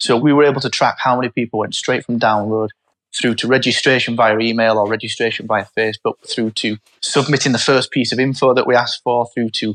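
A man speaks at a fairly quick pace with a Yorkshire accent, his pitch medium and his intonation monotone and flat. The sound is dry and close, with no echo. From northern England, Barnsley (South Yorkshire). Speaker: startup founder. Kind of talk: interview.

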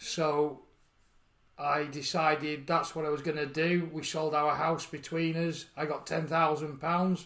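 A man with a Yorkshire accent, fairly high in pitch, very slow, with monotone, flat intonation. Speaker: farmer and charity founder. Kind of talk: interview. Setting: outdoors on a farm bench.

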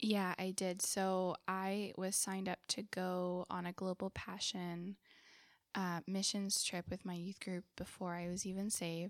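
Monotone, flat intonation in a Californian accent, at a fairly slow pace, with a dry, close sound and no echo. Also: woman, medium pitch for a woman. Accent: Californian American English. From Southern California. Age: 20s. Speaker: missionary. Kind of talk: testimony.

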